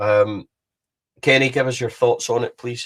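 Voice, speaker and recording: A man with a Scottish accent talks at a fairly quick pace in a somewhat breathy voice. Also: very clean recording, silent background. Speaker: football podcast host. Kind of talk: live podcast discussion. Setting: live stream.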